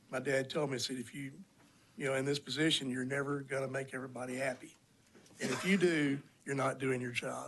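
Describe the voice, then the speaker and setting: In a Texan accent, a man rushes at a very fast pace with a medium pitch and monotone, flat intonation. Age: 60s. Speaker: county judge. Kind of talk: legislative committee testimony.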